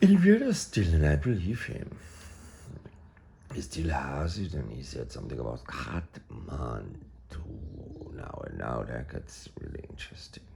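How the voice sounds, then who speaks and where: With an Austrian accent, a man speaks at a fairly slow pace, his very deep, low pitch carrying lively intonation and big swings in loudness. Long pauses come often, and the room echo is audible. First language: German. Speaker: artist. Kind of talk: casual monologue. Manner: rambling, hesitant with fillers.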